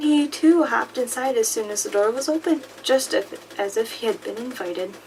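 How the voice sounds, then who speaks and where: An animated, soft-spoken delivery at a moderate pace, with noticeable background noise. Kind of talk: audiobook-style reading of a fantasy novel. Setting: close-mic recording with paper and rain sounds. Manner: soft-spoken, becoming more animated while reading.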